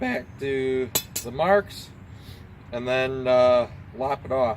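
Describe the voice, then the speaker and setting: A man's voice amid noticeable background noise. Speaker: hobby blacksmith. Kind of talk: casual talk while working.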